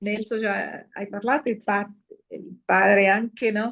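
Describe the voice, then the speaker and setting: Someone with a Brazilian accent speaks at a fairly slow pace. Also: woman. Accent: Brazilian Portuguese accent in Italian. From Brazil (Sergipe). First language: Portuguese (speaking Italian). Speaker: lay missionary giving testimony. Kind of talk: personal testimony at a conference. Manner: halting, many fillers and self-corrections.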